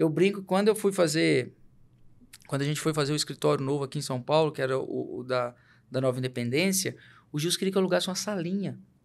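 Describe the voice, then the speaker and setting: A man talks at a very fast pace. His pitch sits fairly high and varies in an ordinary way. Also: very clean recording, silent background. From Minas Gerais, Brazil. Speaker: company CEO. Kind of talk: interview conversation.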